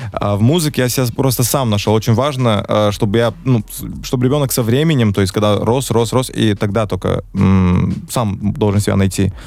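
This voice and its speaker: Over music in the background, a man talks at a moderate pace with very even loudness. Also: fairly low pitch for a man, ordinary pitch variation. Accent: slight American. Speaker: rapper. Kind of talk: casual chat.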